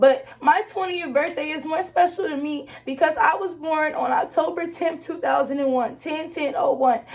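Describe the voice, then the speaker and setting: Noticeable background noise behind a woman speaking at a high pitch. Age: 20s. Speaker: vlogger sharing personal story. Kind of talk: emotional testimony.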